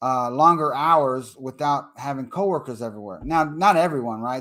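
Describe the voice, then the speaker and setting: This man speaks with a Texas accent. His pitch is fairly high, and his intonation is lively. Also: very clean recording, silent background. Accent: Texas accent, sounds like a cowboy. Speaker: online marketing trainer. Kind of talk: live-stream tutorial. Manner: casual, animated.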